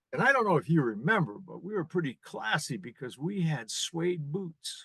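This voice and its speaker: This man, with an American accent and a fairly high pitch, has a bright, sharp tone, very wide pitch swings and big swings in loudness, talking at a moderate pace in a dry, close sound with no echo. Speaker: former rock band singer. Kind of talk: casual chat. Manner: hesitant, many fillers.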